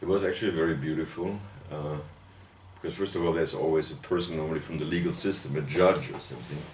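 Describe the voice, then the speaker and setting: With a German accent, a man speaks very fast in a very deep, low pitch with ordinary pitch variation, amid audible room echo and noticeable background noise. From Germany, Bavaria (Würzburg). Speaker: literary critic and professor. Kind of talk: interview. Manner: hesitant, many fillers.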